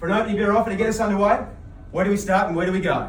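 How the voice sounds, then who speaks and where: Noticeable background noise accompanies a man talking in an Australian accent. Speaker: auctioneer. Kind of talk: competition host welcome speech to a room. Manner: friendly, upbeat.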